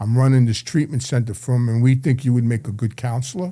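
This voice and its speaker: Speaking with a New York accent, a man has a medium pitch and a dark, mellow tone. His voice is somewhat breathy, and his pace is fairly quick. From New York City, Brooklyn and Queens. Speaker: addiction counselor, former mobster. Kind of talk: interview storytelling. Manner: halting, repetitive.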